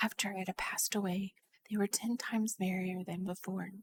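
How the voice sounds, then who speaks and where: The speaker talks at a fairly slow pace in a somewhat breathy voice. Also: woman. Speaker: vtuber ASMR streamer / storyteller. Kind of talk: soft-spoken ASMR audiobook reading, whispered storytelling. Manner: soft, even storytelling narration.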